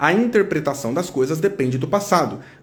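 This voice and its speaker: A man speaks with lively intonation. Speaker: psychologist. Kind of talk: live stream talk. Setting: Instagram live. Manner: slower, guided exercise.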